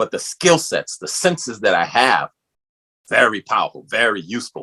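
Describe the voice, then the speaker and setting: With a New York accent, a man speaks at a moderate pace in a dry, close sound with no echo. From New York City, the Bronx. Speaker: podcast host. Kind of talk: interview.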